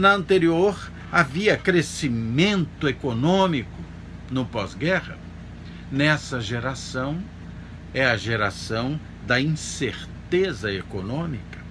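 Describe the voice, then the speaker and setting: Speaking very slowly in a room with audible echo, a man with a medium pitch lets his voice swing very widely up and down. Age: 60s. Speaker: pastor. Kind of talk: sermon. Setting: church service streamed online.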